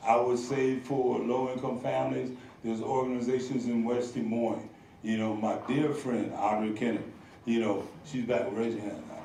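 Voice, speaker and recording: Someone with an American accent speaks at a moderate pace amid noticeable background noise and audible room echo. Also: man, medium pitch for a man. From United States. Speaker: community organizer and former state legislator. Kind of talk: public talk with audience Q&A. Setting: stage with audience. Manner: animated.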